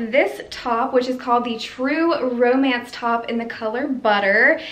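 Room echo is audible. The pace is fairly slow. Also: woman, high pitch for a woman, fairly even intonation. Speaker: fashion vlogger. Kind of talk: casual vlog chat. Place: home room.

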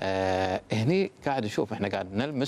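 An ordinary speaking voice from a man, with lively intonation at a moderate pace. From Kuwait. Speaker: municipal government official; guest. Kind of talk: TV interview. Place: studio. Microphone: lapel.

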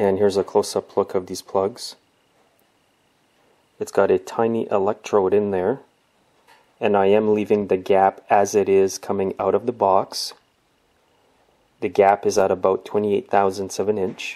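A man's fairly low, flat monotone voice at a moderate pace, broken by long, frequent pauses. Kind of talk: tutorial. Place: garage.

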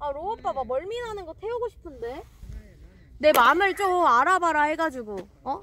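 Amid noticeable background noise, a woman with an extremely high pitch speaks at a moderate pace in a raised, projected, animated voice, her pitch swinging very widely and her loudness rising and falling sharply, with long, frequent pauses. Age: 20s. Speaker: fishing live streamer. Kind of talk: live stream chat. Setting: outdoors at a fishing spot.

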